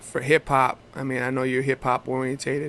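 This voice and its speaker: This man's tone is bright and sharp, his pitch medium. He speaks at a moderate pace with monotone, flat intonation. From Hawaii, Oahu (Kailua). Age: 40s. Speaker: hip hop artist. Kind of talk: casual interview chat. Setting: FaceTime video call.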